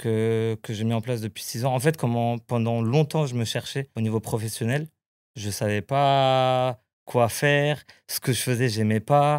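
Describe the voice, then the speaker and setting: A man speaks at a fairly slow pace, medium in pitch, with fairly even intonation. The sound is dry and close with no echo, on a very clean recording with a silent background. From Portuguese family in France. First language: Portuguese (speaking French). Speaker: travel planner. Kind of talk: casual chat. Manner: halting.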